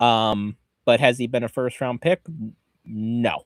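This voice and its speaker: A man speaks with a northeastern Pennsylvania accent. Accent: Scranton. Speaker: football podcast co-host. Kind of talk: casual chat.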